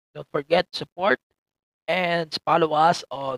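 In a Filipino accent, a man with a fairly high pitch speaks at a very slow pace, the sound dry and close with no echo. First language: Tagalog. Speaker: podcast host. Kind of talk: casual chat. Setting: recording through earphone mic.

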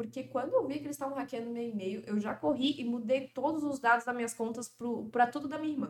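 Bright and sharp in tone, the voice has lively intonation and a Florianópolis accent. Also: woman. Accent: Florianópolis (manezinho) accent, noticeable. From Brazil, Florianópolis. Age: 20s. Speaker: financial influencer and former model. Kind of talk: casual podcast interview.

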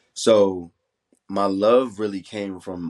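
A man with an American accent speaks in a plain, everyday voice at a fairly low pitch with fairly even intonation. The recording is very clean, with a silent background and a dry, close sound with no echo. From Roanoke, Virginia. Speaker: entrepreneur and non-profit founder. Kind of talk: casual interview chat.

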